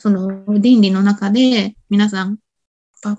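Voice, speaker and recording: Somewhat breathy and dark, mellow in tone, a woman's medium-pitched voice moves with ordinary pitch variation in a dry, close sound with no echo. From Shimizu, Shizuoka, Japan. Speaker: body-work instructor. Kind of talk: interview chat. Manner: halting, many fillers.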